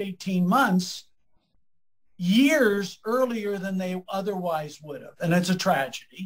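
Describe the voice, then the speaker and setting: Speaking at a very slow pace with a Midwestern American accent, a man has a high pitch and ordinary pitch variation. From US Midwest, Lima Ohio. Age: 70s. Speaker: economist and professor. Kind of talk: interview conversation.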